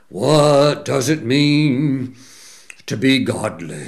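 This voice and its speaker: In a put-on character voice, a man speaks very slowly with a raspy, medium-pitched sound. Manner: stoic, solemn.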